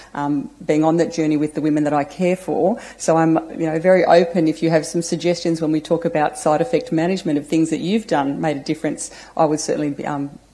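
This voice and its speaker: A woman's dark, mellow, fairly low voice at a very fast pace, with ordinary pitch variation. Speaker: presenter. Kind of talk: lecture. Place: hall.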